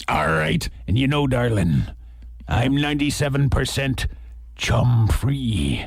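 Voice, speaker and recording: In a put-on character voice of medium pitch, a man speaks at a fairly slow pace with long, frequent pauses. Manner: gruff.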